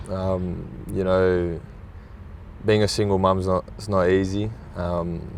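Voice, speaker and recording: With an Australian accent and a very deep, low pitch, a man speaks at a fairly slow pace in a monotone, flat intonation, leaving long, frequent pauses amid audible room echo and noticeable background noise. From Australia, Sydney. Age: 20s. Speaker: professional footballer. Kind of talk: interview. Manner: halting, many fillers.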